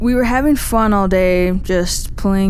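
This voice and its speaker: A woman with an American accent speaks at a very slow pace with fairly even intonation. Background noise is noticeable. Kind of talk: first-person true scary story telling.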